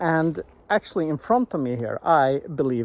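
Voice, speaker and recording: With a Swedish accent, a man speaks. His pace is fairly slow. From Sweden. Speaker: vlogger. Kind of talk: walking vlog. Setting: outdoors in a forest. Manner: halting, many restarts and fillers.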